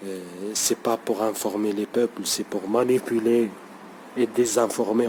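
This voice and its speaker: Over noticeable background noise, a man with a non-native accent speaks very slowly at a medium pitch, his intonation fairly even. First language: not French (speaking French). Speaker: conspiracy vlogger. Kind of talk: unscripted monologue vlog. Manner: halting, many hesitations and repetitions; improvised, unprepared.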